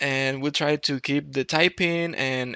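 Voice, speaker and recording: A man with a non-native accent speaks at a very slow pace in a medium pitch. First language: not English. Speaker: programming YouTuber. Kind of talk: tutorial. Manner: hesitant, with fillers and restarts.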